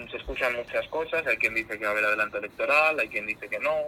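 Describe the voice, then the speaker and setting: A man's voice comes through with noticeable background noise in the recording. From Spain, Zamora (Castile and León). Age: 20s. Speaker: regional politician. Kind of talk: interview.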